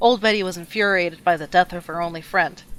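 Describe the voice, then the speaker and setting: Using a normal speaking voice, a woman talks fairly quickly at a medium pitch with fairly even intonation. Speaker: storyteller. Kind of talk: scary campfire story narration.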